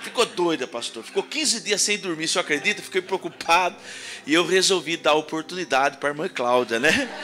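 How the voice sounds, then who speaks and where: Over noticeable background noise, a man sounds animated, his high voice moving with lively intonation. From Piracicaba, São Paulo state interior, Brazil. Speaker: pastor. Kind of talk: sermon. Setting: church. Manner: animated, humorous delivery.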